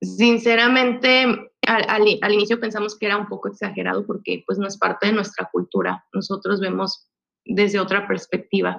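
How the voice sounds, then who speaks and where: Hardly any pauses break up a woman's speech, delivered at a moderate pace. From Mexico, Puebla. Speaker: expat mother. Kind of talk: interview. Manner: halting.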